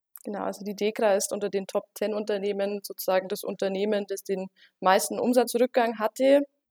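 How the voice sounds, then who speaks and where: At a fairly quick pace, a woman talks in a dark, mellow tone at medium pitch with fairly even intonation. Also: dry, close sound with no echo. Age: 20s. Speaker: market research consultant. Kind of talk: interview.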